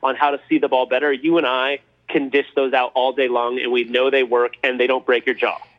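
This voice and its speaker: A man with a Californian accent speaks at a fairly quick pace in a medium pitch. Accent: Californian American. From Los Angeles, California. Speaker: former pro baseball player and business coach. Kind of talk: interview podcast.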